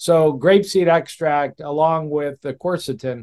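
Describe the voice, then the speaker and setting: An unremarkable speaking voice from a man with an American accent, fairly high in pitch, fairly even in intonation, dry and close with no echo. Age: 60s. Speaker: cardiologist. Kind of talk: interview conversation.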